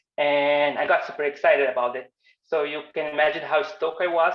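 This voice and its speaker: A man with a Portuguese accent talks at a very fast pace in a fairly high pitch, his intonation fairly even. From Brazil. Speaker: designer and animation instructor. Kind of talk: online workshop presentation.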